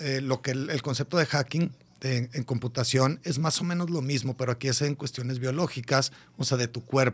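The speaker is a man with a somewhat breathy voice. His intonation is fairly even. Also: medium pitch for a man, moderate pace. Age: 40s. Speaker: biohacking podcaster and fitness coach. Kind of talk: casual radio interview. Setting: radio studio.

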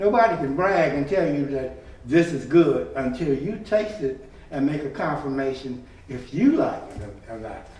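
Spoken at a moderate pace in an American accent, the voice comes with noticeable background noise and audible room echo. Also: man, fairly high pitch for a man, lively intonation. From Chicago. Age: 80s+. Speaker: church member. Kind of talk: casual interview.

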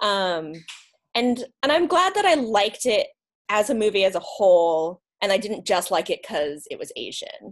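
The pitch swings very widely. It carries an American accent. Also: woman, fairly high pitch for a woman, moderate pace. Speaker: podcast host guest. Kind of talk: casual chat.

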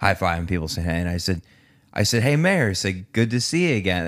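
This is an unremarkable speaking voice with an American accent. Its pitch variation is ordinary. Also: man, very clean recording, silent background. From Connecticut. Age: 30s. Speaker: podcast host. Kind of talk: casual chat.

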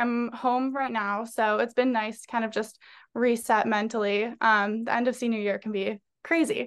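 A woman's unremarkable speaking voice with an American accent, fairly high in pitch, at a moderate pace with big swings in loudness over a quiet background. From Massachusetts, North Andover near Boston. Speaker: recent graduate, future law student. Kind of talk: casual interview.

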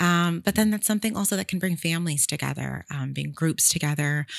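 A woman with a very deep, low voice, recorded very cleanly against a silent background. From Sacramento, California. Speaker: natural wine content creator. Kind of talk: casual interview. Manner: animated.

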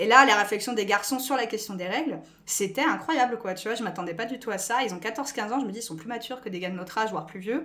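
A woman talks at a very fast pace with hardly any pauses, at a fairly high pitch with ordinary pitch variation and big swings in loudness. Audible room echo and noticeable background noise fill the recording. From France. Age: 20s. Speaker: school staff member. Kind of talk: podcast interview.

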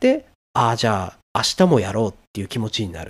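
Fairly brisk delivery from a man, very clean recording, total silence behind. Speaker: solo podcaster, software engineer. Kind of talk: solo monologue podcast. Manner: hesitant, many filler sounds. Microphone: noise gate clipping quiet parts of speech.

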